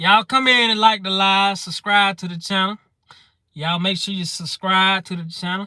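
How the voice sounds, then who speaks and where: With a Mississippi accent, a man speaks at a moderate pace in a high pitch and a raised, projected voice with a bright, sharp tone. His intonation is fairly even, and the sound is dry and close with no echo. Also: big swings in loudness. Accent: Southern US (Mississippi). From Mississippi, US South. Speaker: comedy streamer. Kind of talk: live stream comedy chat. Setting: live stream.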